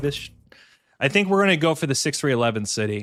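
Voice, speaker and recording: In a very clean recording with a silent background, a man talks at a very fast pace in a fairly high, bright, sharp voice with very wide pitch swings. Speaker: board game streamer. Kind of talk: live gameplay commentary. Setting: live stream. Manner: animated; loud.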